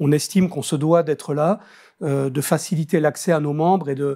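A man's fairly even intonation and moderate pace come through over a quiet background. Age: 60s. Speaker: business association president; interviewee. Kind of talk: interview. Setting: studio. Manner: hesitant, with many fillers. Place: studio.

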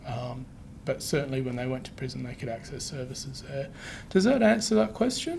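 Light background noise accompanies a man with an Australian accent who talks at a fairly quick pace with big swings in loudness. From Western Australia. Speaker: presenter. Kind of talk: presentation; answering audience questions. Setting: webinar with live room audience. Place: meeting room.

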